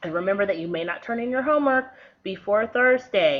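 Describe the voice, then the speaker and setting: With an ordinary speaking voice, a woman at medium pitch speaks at a moderate pace with lively intonation. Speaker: schoolteacher. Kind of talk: tutorial.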